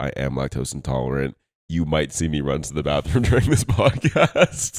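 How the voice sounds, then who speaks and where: A man's very deep, low voice with vocal fry, dry and close with no echo. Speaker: podcast co-host. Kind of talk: casual chat. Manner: animated.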